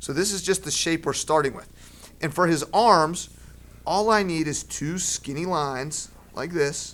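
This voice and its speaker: Speaking at a fairly slow pace, a man with a fairly high pitch sounds animated, using ordinary pitch variation. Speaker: art teacher. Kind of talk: drawing tutorial for children. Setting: classroom with second grade pupils.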